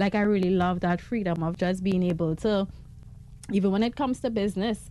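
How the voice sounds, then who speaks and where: With music in the background, a woman talks at a medium pitch with fairly even intonation. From Trinidad, Laventille. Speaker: fashion designer and business owner. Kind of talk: radio interview. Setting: radio studio.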